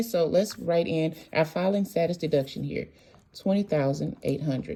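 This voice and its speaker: The tone is dark and mellow, with ordinary pitch variation. The pace is fairly quick. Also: woman. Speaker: tax preparer. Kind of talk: tutorial. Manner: fast.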